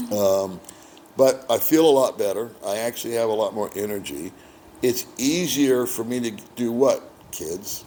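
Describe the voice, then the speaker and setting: In a relaxed tone, a man with an American accent speaks at a moderate pace, his medium-pitched voice dark and mellow with ordinary pitch variation. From United States. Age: 60s. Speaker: expat boyfriend of the channel host. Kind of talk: casual interview. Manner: relaxed, conversational with fillers.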